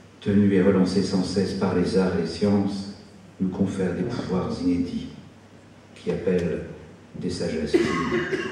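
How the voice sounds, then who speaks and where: In a room with audible echo and noticeable background noise, a man speaks at a fairly slow pace with a very deep, low pitch. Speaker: cultural director. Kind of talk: formal speech. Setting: stage with audience. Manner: formal.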